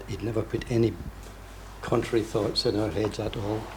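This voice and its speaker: A man with a fairly low voice talks at a fairly quick pace. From west of Scotland. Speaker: event attendee. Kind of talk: personal testimony.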